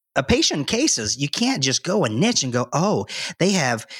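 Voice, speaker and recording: A man with a Southern US accent, lively intonation and a moderate pace, on a very clean recording with a silent background. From North Carolina. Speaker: doctor. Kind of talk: casual interview.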